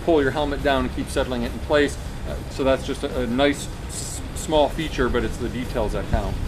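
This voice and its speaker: Music plays in the background while the speech moves at a fairly quick pace. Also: man. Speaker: motorcycle gear reviewer. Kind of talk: product review talk. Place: garden. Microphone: camera far.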